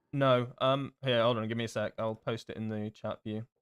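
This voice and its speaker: A man talks slowly, at a fairly slow pace, in a southern English accent. His pitch is medium and his intonation monotone and flat. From southern England, Devon. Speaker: game streamer. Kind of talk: live gameplay stream chat. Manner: casual, hesitant with fillers.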